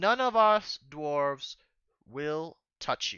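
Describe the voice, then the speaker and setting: A man's put-on character voice, fairly high in pitch, at a very slow pace. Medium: actual play. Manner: brusque, impatient.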